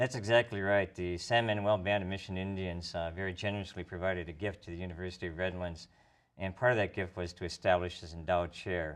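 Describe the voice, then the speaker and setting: A man with a Minnesotan accent talks at a very fast pace with a very deep, low pitch and fairly even intonation. The background is quiet. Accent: Minnesota. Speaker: professor. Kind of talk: tv interview.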